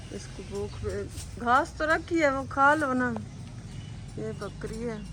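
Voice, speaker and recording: Audible room echo and noticeable background noise fill the recording. Within it, a woman talks at a fairly slow pace. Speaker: vlogger. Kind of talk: casual vlog.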